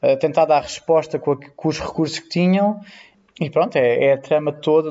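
This man has a fairly high pitch and a European Portuguese accent. His intonation stays fairly even at a fairly quick pace. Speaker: nurse. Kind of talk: casual chat.

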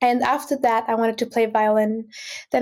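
A woman's fairly high-pitched voice in a dark, mellow tone, with an Austrian accent, on a very clean recording with a silent background. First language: German. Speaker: singer-songwriter and music student. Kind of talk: casual interview conversation.

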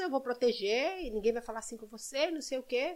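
Her pitch swings very widely as she talks. The woman keeps up a fairly quick pace. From Brazil, Belo Horizonte (Minas Gerais). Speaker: actress and model. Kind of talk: casual chat.

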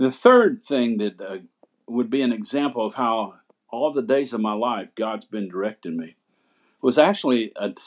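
On a very clean recording with a silent background, a man speaks in a Southern US accent. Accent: Southern American. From US South, Asheville, North Carolina. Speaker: pastor. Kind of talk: testimony.

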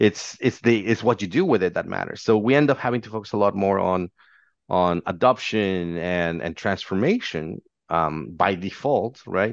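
In a Spanish accent, a man speaks at a moderate pace with a fairly low pitch and ordinary pitch variation, the sound dry and close with no echo against a quiet background. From Mexico. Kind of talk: interview. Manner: halting.

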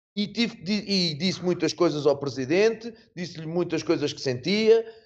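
A man talks at a middling tempo, his intonation lively. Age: 50s. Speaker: football coach. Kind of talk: interview.

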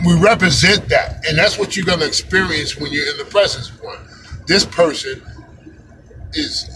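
With noticeable background noise behind him, a man speaks at a high pitch and moderate pace, with ordinary pitch variation, big swings in loudness, and long, frequent pauses. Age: 50s. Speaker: podcast host. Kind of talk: casual monologue. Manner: animated.

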